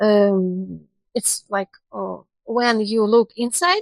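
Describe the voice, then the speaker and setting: A woman is speaking here. Her pitch varies in an ordinary way, and the sound is dry and close with no echo. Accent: Russian. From Russia. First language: Russian. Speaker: university international cooperation specialist. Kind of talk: podcast interview. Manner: halting.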